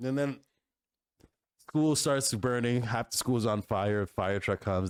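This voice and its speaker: On a very clean recording with a silent background and a dry, close sound with no echo, a man with a Canadian accent and a plain, everyday voice speaks at a fairly low pitch with lively intonation and very even loudness. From Canada, Toronto. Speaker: podcast co-host. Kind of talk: casual chat.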